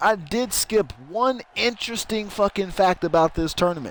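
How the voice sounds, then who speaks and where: A man speaks loud and high-pitched. His tone is animated and his intonation lively. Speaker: streamer doing wrestling game commentary. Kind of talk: live commentary.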